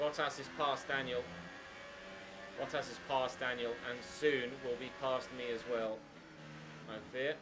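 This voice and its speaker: Music plays in the background as a man with a southern English accent speaks at a fairly slow pace, using a medium pitch with ordinary pitch variation, long, frequent pauses and audible room echo. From southeast England, Cambridge. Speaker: gaming streamer. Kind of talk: live gameplay commentary. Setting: live stream.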